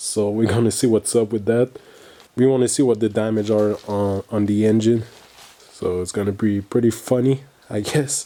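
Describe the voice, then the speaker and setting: This man has a Quebec accent and a fairly low pitch. His tone is dark and mellow, and he keeps a moderate pace with fairly even intonation. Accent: French Canadian accent in English. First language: French. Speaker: car enthusiast video host. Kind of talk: casual video intro.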